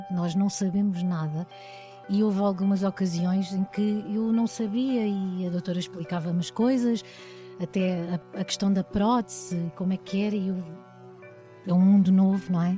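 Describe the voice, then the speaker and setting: With music in the background, a woman of medium pitch speaks at a moderate pace with ordinary pitch variation. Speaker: singer and actress. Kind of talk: podcast interview answer.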